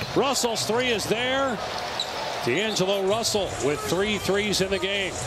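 The speech moves at a fairly slow pace, dry with no echo, under loud background noise. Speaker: play-by-play announcer. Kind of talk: live sports play-by-play commentary. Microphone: headset.

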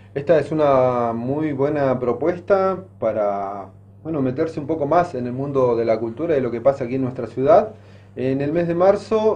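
Lively intonation at a moderate pace from a man with a plain, everyday voice and fairly high pitch. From Argentina. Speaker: news presenter. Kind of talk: news presenting. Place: studio. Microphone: podium.

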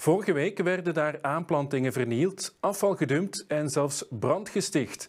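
Over a quiet background, a man with a plain, everyday voice speaks at a moderate pace and fairly high pitch, his intonation lively. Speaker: news reporter. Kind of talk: news reading. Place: studio.

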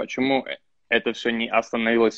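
The man's voice holds a medium pitch with a quiet background behind it. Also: dry sound with no echo. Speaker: interviewer, social media blogger. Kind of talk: interview. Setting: video call. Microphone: video call.

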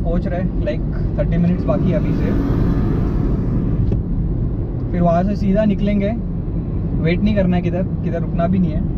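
Music plays in the background as a man talks at a fairly slow pace in a dry sound with no echo. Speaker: vlogger. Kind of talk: casual vlog chat. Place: car. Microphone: camera far.

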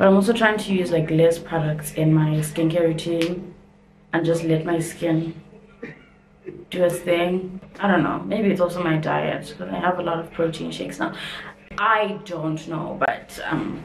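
A woman speaks in an ordinary speaking voice, fairly low in pitch, at a moderate pace. Her intonation stays fairly even over light background noise. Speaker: vlogger. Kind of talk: casual vlog chat. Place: bathroom. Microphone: phone near.

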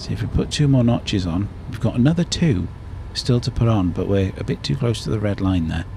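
Amid noticeable background noise, a man with a fairly low pitch speaks at a fairly quick pace, his pitch swinging very widely. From Britain. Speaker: gaming YouTuber. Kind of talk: let's play commentary.

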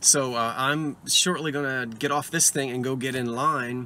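A man talks at a fairly slow pace in a bright, sharp tone, with a dry sound and no echo. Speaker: vintage reseller vlogger. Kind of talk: casual vlog chat. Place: car. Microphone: phone near.

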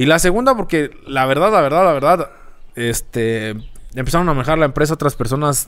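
A man's fairly high voice with a rural Mexican accent, lively intonation and a fairly quick pace. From rural central Mexico. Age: 30s. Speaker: social media content creator and former radio announcer; social media content creator, former radio announcer. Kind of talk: casual interview. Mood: relaxed, reflective storytelling. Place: garage. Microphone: studio mic.

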